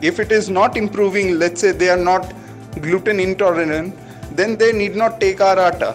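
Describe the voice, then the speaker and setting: A man's high-pitched voice over background music, at a moderate pace, with very even loudness and fairly even intonation. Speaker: food startup founder. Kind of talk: interviewer, casual conversation.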